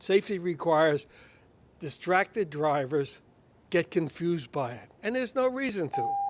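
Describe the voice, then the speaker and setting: The pace stays moderate. Pitch rises and falls across a very wide range. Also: man, high pitch for a man. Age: 80s+. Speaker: member of the public speaking at a meeting. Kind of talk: public comment. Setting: public meeting.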